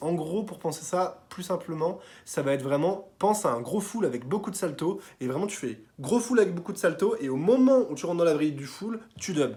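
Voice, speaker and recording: High in pitch, this man's voice has lively intonation. He talks at a fairly quick pace. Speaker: tricking coach YouTuber. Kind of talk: tutorial feedback. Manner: fast; casual, filler-heavy.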